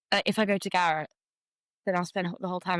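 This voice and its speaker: A woman's fairly low voice with fairly even intonation, in a dry, close sound with no echo, on a very clean recording with a silent background. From Somerset, England. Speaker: singer-songwriter. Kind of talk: casual interview chat.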